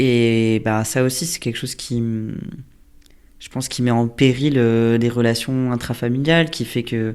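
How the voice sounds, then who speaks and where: A man at a medium pitch, fairly slow and fairly even in intonation, with long, frequent pauses, in a very clean recording with a silent background. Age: 30s. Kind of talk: interview answer. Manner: casual, hesitant.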